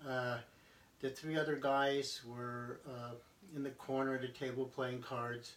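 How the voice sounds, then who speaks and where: Speaking very slowly, a man keeps a flat, monotone delivery broken by long, frequent pauses. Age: 70s. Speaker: army veteran. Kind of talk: personal testimony. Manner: halting, many fillers.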